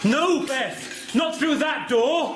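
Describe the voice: A man's put-on character voice, extremely high-pitched and very slow, with lively intonation, clear music in the background and audible room echo.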